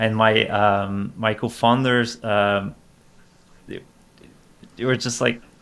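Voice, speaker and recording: A man speaks at a fairly slow pace with fairly even intonation. The recording is very clean, with a silent background. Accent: French. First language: French. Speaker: tech startup CEO. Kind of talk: podcast interview. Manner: halting, many repetitions.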